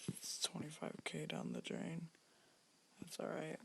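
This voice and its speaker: A man whispering at a fairly slow pace. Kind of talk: casual gaming commentary, pack opening. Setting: home recording at night. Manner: whispered.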